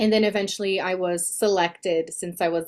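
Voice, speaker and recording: A woman speaks with a Portuguese accent. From Brazil. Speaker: speaking coach. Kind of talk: interview.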